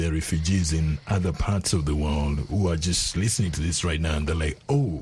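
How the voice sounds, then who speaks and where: Here a man speaks at a very deep, low pitch. His pace is moderate, and his pitch varies in an ordinary way. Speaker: radio host. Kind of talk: news announcer reading broadcast copy. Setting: studio. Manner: formal, polished and steady, brisk broadcast delivery.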